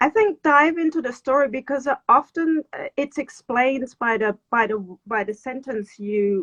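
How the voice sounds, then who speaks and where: A woman with a German accent speaks in a high voice at a fairly slow pace with lively intonation. The sound is dry and close, with no echo. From Germany. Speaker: writer and interviewer. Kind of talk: casual interview chat. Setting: Instagram live video call.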